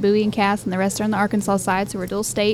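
A woman's medium-pitched voice at a very fast pace, with music in the background. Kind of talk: casual interview chat. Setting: on location at venue.

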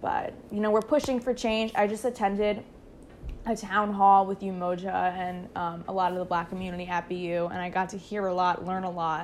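A woman of medium pitch talks in a normal speaking voice at a moderate pace, her intonation fairly even. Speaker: college student podcast co-host. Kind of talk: casual chat.

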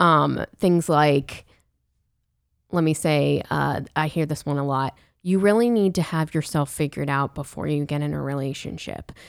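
A woman with an American accent speaks at a moderate pace in a very deep, low voice with ordinary pitch variation. The recording is very clean with a silent background. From Pittsburgh, US. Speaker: podcast co-host, youth minister. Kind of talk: casual chat. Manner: laughs often.

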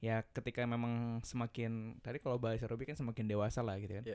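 The tone is dark and mellow, and the intonation is monotone and flat. The pace is very fast. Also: man. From West Java, Bandung (Sundanese). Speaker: university student. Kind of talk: casual chat.

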